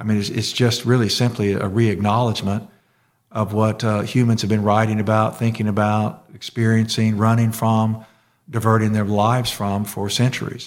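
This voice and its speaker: A man talks with a Southern US accent. His intonation is monotone and flat. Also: fairly low pitch for a man, moderate pace. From US South.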